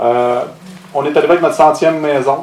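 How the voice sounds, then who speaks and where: A man with a Quebec accent at a fairly quick pace, with ordinary pitch variation, audible room echo and noticeable background noise. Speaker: ecological construction contractor. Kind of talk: conference talk. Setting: stage with audience. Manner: fast. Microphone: echo from room sound system.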